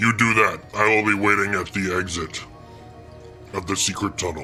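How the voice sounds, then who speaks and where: A man puts on a character voice at a fairly low pitch, with clear music in the background. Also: moderate pace. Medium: actual play. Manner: curt, gruff.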